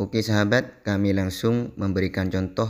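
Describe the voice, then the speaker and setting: In a very clean recording with a silent background, a man with a fairly low pitch and a normal speaking voice talks at a fairly slow pace with fairly even intonation. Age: 20s. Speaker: Islamic spiritual practice teacher. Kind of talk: religious instruction and tutorial; screen tutorial.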